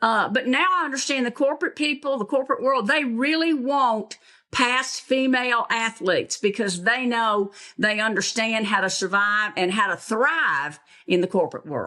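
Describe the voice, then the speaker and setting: A woman with a Southern US accent, bright and sharp in tone, fairly high in pitch, with lively intonation at a moderate pace. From US South (Tennessee, Alabama). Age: 70s. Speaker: basketball coach. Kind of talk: interview.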